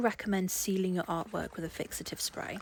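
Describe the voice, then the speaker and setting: A woman speaks at a medium pitch and a fairly quick pace. Noticeable background noise runs under her voice. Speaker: portrait artist. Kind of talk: tutorial voice-over.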